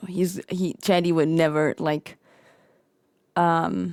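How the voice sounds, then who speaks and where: The recording is very clean with a silent background. A woman speaks at a fairly low pitch and a fairly slow pace, with monotone, flat intonation. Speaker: roleplay streamer. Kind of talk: in-character roleplay chat. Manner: soft-spoken.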